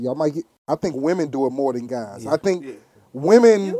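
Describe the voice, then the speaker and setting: This man has a dark, mellow tone and a fairly high pitch, speaking with an American accent. His pace is fairly quick and his intonation lively. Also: dry, close sound with no echo. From Philadelphia. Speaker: stand-up comedian.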